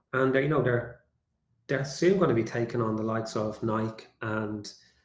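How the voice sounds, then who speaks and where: A somewhat breathy man with a Dublin accent and ordinary pitch variation. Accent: Dublin Irish. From Ireland, suburbs of Dublin. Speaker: AI and communications consultant. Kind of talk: webinar presentation.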